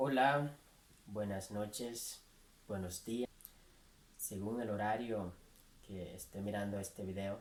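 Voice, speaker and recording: A man at a very slow pace and a fairly low pitch, with fairly even intonation and long, frequent pauses. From Nicaragua. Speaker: writer and columnist. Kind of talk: interview host talk.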